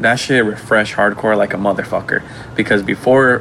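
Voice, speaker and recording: Against noticeable background noise, a man talks at a fairly quick pace and medium pitch with fairly even intonation. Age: young. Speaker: podcast host. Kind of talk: casual chat. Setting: home.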